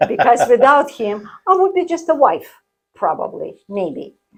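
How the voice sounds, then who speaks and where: A woman with a Russian accent speaks at a moderate pace with lively intonation. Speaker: artist and coach. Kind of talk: interview. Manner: animated.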